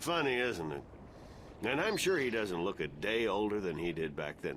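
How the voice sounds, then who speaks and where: Doing a put-on character voice, a man sounds gruff and fairly low at a moderate pace. Clear background noise can be heard. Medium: video game. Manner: gruff, cursing.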